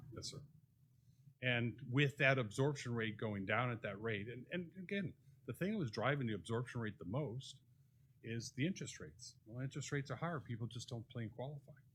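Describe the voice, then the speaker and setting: A man's medium-pitched, normal speaking voice at a fairly quick pace. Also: ordinary pitch variation. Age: 60s. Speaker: real estate developer speaking at public meeting. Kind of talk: public comment at city commission workshop.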